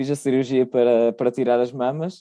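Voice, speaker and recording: A man speaks in a dark, mellow tone, the sound dry and close with no echo. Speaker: podcast guest. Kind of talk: personal testimony. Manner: halting, with repetitions.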